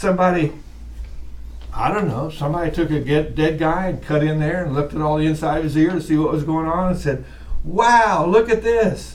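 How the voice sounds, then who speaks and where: Loud speech at a moderate pace with ordinary pitch variation, amid noticeable background noise and audible room echo. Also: man. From US Midwest (Wisconsin). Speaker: college instructor. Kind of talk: lecture. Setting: classroom with online students.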